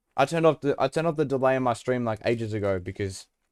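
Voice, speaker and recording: This man has an Australian accent. He speaks at a very fast pace. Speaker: video game streamer. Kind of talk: casual live-stream chat. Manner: casual, chatty.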